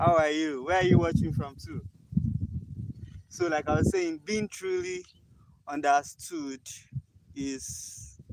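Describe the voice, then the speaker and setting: A man with a Nigerian accent speaks at a very slow pace, with long, frequent pauses. His voice is fairly high, with ordinary pitch variation. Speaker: livestreamer. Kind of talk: casual livestream chat. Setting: outdoors on a hilltop. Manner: animated.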